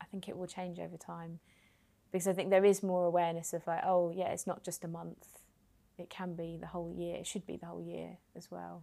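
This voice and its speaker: Here a woman talks at a fairly quick pace with a London accent. The recording is very clean, the background silent. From London, Hackney. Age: 30s. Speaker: charity worker. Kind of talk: interview.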